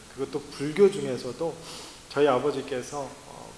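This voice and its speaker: Amid noticeable background noise and audible room echo, a man with a slight non-native accent speaks at a fairly quick pace in a fairly high pitch with fairly even intonation. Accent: slightly non-native Korean, self-described. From Latin America (emigrated from Korea at age 9, Mexico). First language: Spanish (speaking Korean). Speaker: missionary. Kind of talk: sermon. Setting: church. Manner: halting, many fillers.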